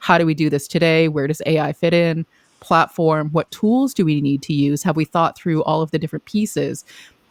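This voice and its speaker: A woman with an American accent speaks at a fairly quick pace in a very deep, low pitch. Her intonation is fairly even, and the sound is dry and close with no echo. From Boston area, US. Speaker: AI consultant panelist. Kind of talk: panel discussion.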